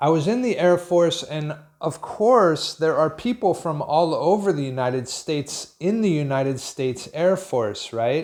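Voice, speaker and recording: A man with an American accent speaks at a high pitch and a fairly slow pace. His pitch varies an ordinary amount, and the background is quiet. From US Northeast, Pennsylvania. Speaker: English teacher. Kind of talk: video lesson. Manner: clear.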